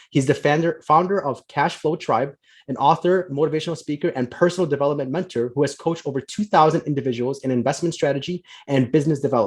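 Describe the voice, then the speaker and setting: A man talks at a very fast pace with an American accent, his pitch fairly high for a man. His voice is somewhat breathy, with ordinary pitch variation. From US Midwest, Chicago. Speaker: podcast host, financial planner. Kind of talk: podcast interview.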